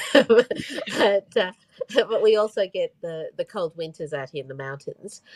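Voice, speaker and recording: At a fairly slow pace, a woman with an Australian accent makes very wide pitch swings and big swings in loudness, in a dry, close sound with no echo. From Australia, Brisbane, Queensland. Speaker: author. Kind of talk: video chat interview. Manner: hesitant, many fillers.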